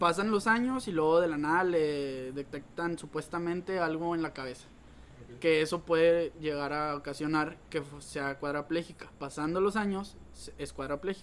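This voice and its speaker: At a moderate pace, a man speaks in a plain, everyday voice that sits fairly high, with ordinary pitch variation. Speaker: podcast co-host. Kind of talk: casual chat.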